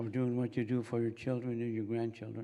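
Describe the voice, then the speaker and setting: Here a man talks at a fairly quick pace. His medium pitch carries a dark, mellow tone. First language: Mi'kmaq. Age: old. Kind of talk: ceremonial prayer and blessing. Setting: convocation ceremony with audience.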